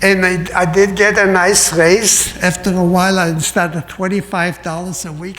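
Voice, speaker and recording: Noticeable background noise sits behind a man who speaks at a fairly slow pace with a high pitch. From Poland. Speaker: Holocaust survivor speaker. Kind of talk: testimony.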